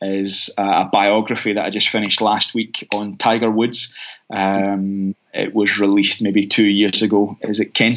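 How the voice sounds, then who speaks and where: A man with a Scottish accent talks at a fairly slow pace. His fairly low voice holds a flat, monotone intonation. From Scotland, Glasgow east end. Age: 30s. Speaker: mission organisation rep and minister. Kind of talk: casual interview. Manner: halting, many fillers.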